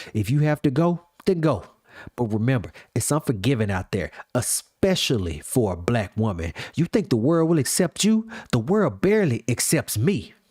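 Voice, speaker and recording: A man's strained, put-on character voice at medium pitch with very wide pitch swings, at a moderate pace, in a dry, close sound with no echo. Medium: read story. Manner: strained but controlled.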